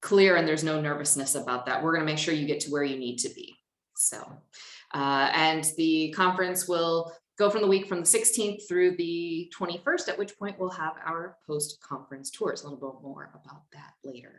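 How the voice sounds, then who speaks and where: A woman with an American accent speaks at a moderate pace, her fairly low pitch showing ordinary variation. Her loudness swings widely, and the room adds audible echo. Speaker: conference presenter. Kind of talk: conference presentation.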